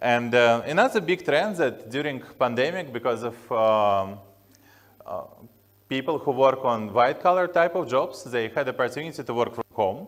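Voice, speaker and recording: With a strong Slavic accent, a man of medium pitch talks at a moderate pace with lively intonation. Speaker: tech company founder. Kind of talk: conference talk. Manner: halting with many fillers.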